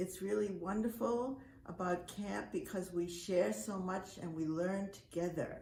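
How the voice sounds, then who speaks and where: Through audible room echo, a woman speaks at a fairly slow pace and medium pitch with lively intonation. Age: 80s+. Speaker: camp director. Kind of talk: speech. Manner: halting.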